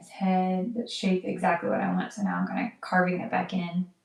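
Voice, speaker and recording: A woman speaks quietly in an American accent at a medium pitch. Her pace is moderate and her intonation fairly even. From United States. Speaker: live wedding painter. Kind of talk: live-stream painting commentary. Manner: quiet while focused; halting, with fillers.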